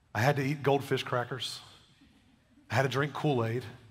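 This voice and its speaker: This man's voice is somewhat breathy, with a monotone, flat intonation. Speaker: pastor. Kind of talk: sermon. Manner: casual, conversational.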